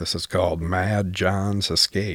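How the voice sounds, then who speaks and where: Very slowly, a man talks in a dry, close sound with no echo. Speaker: radio co-host. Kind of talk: live radio pledge drive chat.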